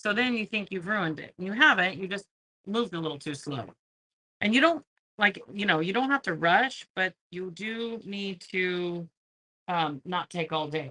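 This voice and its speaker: Loud and lively in intonation, a woman at a medium pitch speaks in a bright, sharp tone, with a dry, close sound and no echo. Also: moderate pace. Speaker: craft livestream host. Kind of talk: live craft tutorial. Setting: livestream. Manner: animated.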